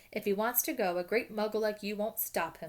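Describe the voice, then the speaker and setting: Using a put-on character voice, a woman growls in a gruff tone at a medium pitch. She talks at a fairly quick pace with ordinary pitch variation. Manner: growling, gruff.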